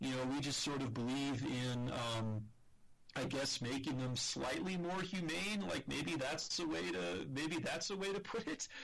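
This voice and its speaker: A man with an American accent at a fairly slow pace, very even loudness and very wide pitch swings, with audible room echo. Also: fairly high pitch for a man. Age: 30s. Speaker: podcast co-host. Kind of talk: casual discussion. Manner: halting.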